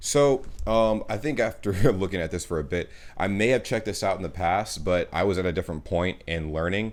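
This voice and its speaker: A man with an American accent and a normal speaking voice talks at a fairly quick pace and a fairly low pitch with ordinary pitch variation, on a very clean recording with a silent background. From United States. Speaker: YouTube reactor. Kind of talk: casual chat. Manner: casual, filler-heavy.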